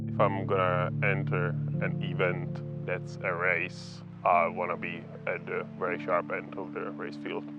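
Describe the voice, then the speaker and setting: Music plays in the background as a man speaks at a fairly slow pace, with audible room echo. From Czech Republic, Prague. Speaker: bikepacking racer. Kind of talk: interview.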